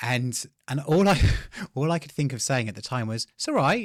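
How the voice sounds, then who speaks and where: A very clean recording of a man's bright, sharp tone against a silent background. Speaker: presenter. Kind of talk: casual anecdote telling.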